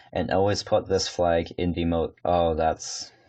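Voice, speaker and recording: A man with a very deep, low pitch at a fairly slow pace, against a quiet background. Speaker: gaming tutorial creator. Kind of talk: screen-recorded tutorial. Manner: halting, many fillers.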